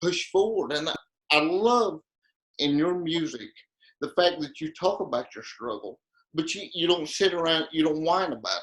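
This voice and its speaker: An ordinary speaking voice from a man, fairly high in pitch, with ordinary pitch variation at a moderate pace. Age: 20s. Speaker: interviewer. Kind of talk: interview.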